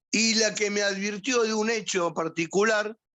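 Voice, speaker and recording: The speaker has a Rioplatense accent. The delivery comes at a fairly slow pace. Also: man. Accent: Argentine Spanish (rioplatense). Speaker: psychiatrist. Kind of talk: lecture. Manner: firm.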